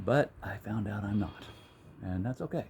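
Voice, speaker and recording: With an American accent, a man speaks at a fairly quick pace in a dark, mellow tone that is somewhat breathy. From US, Hilliard. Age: 60s. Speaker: vlogger. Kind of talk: casual monologue. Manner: halting.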